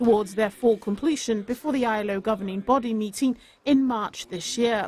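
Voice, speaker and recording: Speaking at a moderate pace, a woman uses a fairly high, somewhat breathy voice with ordinary pitch variation. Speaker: news reporter. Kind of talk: news report.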